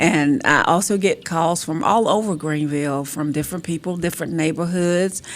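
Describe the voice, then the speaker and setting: The speaker has an eastern North Carolina accent and a moderate pace. Pitch variation is ordinary, with noticeable background noise. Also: woman, fairly low pitch for a woman. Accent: eastern North Carolina Southern. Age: 60s. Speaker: city councilwoman. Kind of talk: radio interview.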